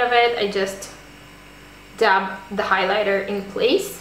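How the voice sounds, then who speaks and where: A woman talks fairly slowly, with noticeable background noise and audible room echo around her. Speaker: beauty vlogger. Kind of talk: tutorial.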